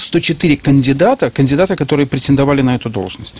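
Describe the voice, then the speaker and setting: Noticeable noise sits behind a man's voice. He speaks at a fairly high pitch with ordinary variation. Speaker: business trainer. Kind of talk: interview. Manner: hesitant with fillers.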